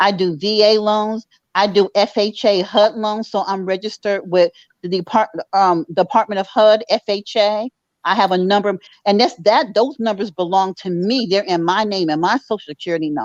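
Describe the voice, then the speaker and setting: In a normal speaking voice, a woman speaks at a moderate pace and medium pitch, with ordinary pitch variation and a dry, close sound with no echo. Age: 60s. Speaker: mortgage underwriter. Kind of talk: casual chat.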